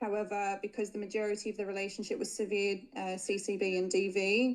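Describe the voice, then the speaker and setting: At a fairly quick pace, a woman talks in a medium pitch with monotone, flat intonation. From Australia. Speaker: caller seeking legal advice. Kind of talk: live Q&A call.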